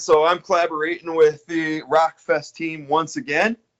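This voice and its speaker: With an American accent, a man uses a normal speaking voice of fairly high pitch at a moderate pace, in a dry, close sound with no echo. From New York. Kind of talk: interview. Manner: casual, filler-heavy.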